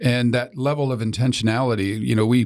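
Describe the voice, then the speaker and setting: A medium-pitched man speaks in an American accent on a very clean recording, its background silent. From US Midwest, Iowa. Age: 50s. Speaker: business broker and entrepreneur. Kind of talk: podcast interview.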